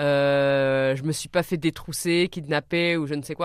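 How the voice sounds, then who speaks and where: A woman's very deep, low voice with ordinary pitch variation, on a very clean recording with a silent background. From France, Orléans. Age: 30s. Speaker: traveller and adventurer. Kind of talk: radio interview. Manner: hesitant, many fillers.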